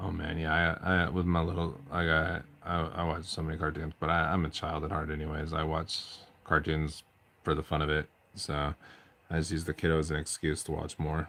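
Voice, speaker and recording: Talking at a fairly quick pace, the speaker has monotone, flat intonation and a bright, sharp tone. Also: man, very deep, low pitch for a man. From eastern Washington, US. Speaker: hobby streamer. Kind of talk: casual chat.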